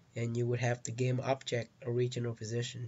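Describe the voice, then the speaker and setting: A man with a non-native accent, medium pitch, a somewhat breathy voice and a moderate pace. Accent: heavy non-native. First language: not English. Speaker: game developer, tutorial maker. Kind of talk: tutorial. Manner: halting, with fillers.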